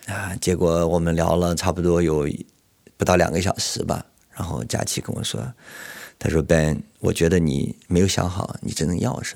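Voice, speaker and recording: The speaking pace is moderate. Its pitch shifts in an ordinary way. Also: man, very deep, low pitch for a man. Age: 50s. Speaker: executive headhunter. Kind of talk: personal testimony.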